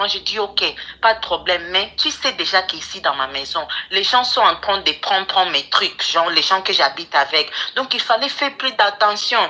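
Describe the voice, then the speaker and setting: Music plays in the background as a woman speaks at a medium pitch. Her intonation is lively and her pace moderate. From English-speaking country. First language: English (speaking French). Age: 20s. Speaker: caller. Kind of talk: advice call-in, personal story. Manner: halting.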